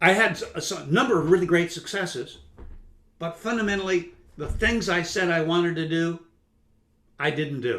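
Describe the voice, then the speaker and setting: A man's high-pitched voice with a bright, sharp tone moves at a moderate pace, with ordinary pitch variation and long, frequent pauses. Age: 60s. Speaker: career consultant and speaker. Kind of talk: webinar presentation. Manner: halting, many fillers.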